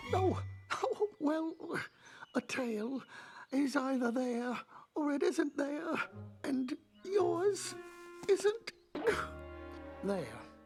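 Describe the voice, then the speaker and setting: A cartoonish character voice speaks at a very slow pace. Long, frequent pauses break up the speech over faint background music. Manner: gentle, slow, polite.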